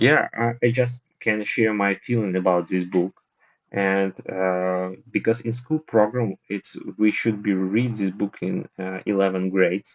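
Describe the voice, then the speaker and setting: A man with a Russian accent speaks at a fairly low pitch. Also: fairly even intonation, fairly slow pace. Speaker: participant in book discussion voice room. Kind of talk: casual chat. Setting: voice room on language app. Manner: halting.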